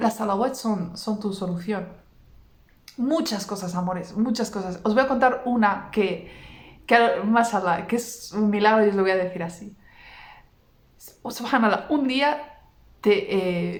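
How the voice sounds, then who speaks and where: Somewhat breathy and animated, a woman with fairly high pitch and ordinary pitch variation talks at a fairly slow pace, with long, frequent pauses and audible room echo. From Basque Country, Vitoria. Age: 30s. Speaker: religious content creator. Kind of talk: personal testimony.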